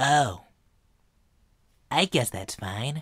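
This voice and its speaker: A raspy put-on character voice comes through a very clean recording with a silent background. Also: man, medium pitch for a man. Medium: dub.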